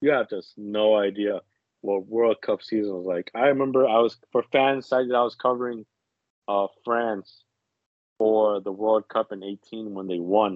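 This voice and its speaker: In an American accent, a man with fairly low pitch talks at a moderate pace with fairly even intonation, an ordinary speaking voice. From New Jersey. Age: 20s. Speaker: soccer podcast panelist. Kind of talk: casual chat. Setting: remote call.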